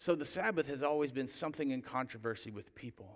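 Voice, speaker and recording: Recorded very cleanly against a silent background, a man uses a plain, everyday voice at a fairly high pitch with ordinary pitch variation. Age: 30s. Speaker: pastor. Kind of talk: sermon.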